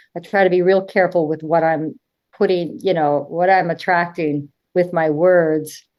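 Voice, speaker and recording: The speaker keeps a very even loudness and fairly even intonation. The pace is moderate. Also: woman. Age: 60s. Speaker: nurse and addiction counselor. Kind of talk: casual chat. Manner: halting.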